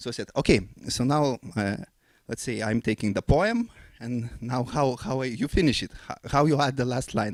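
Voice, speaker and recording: A man with a non-native accent, medium pitch, ordinary pitch variation and a moderate pace, in a very clean recording with a silent background. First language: not English. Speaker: composer and forum speaker. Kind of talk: conference talk. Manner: halting, many fillers.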